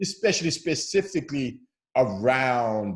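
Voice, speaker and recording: Vocal fry runs through a voice with very wide pitch swings. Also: man. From Zimbabwe. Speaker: founder of a faith conversation channel. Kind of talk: casual interview. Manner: hesitant with repeated words.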